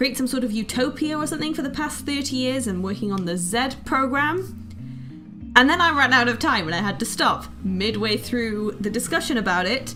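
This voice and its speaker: Music plays in the background as a speaker with a British accent moves through very wide pitch swings at a moderate pace. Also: woman. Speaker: let's player. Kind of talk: casual gameplay commentary.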